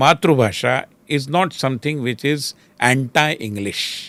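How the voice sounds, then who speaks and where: Speaking very slowly in a Marathi accent, a man uses a fairly high pitch with very wide pitch swings. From Maharashtra, India. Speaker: politician and think tank leader. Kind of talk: podcast interview. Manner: Hindi-English code-switching.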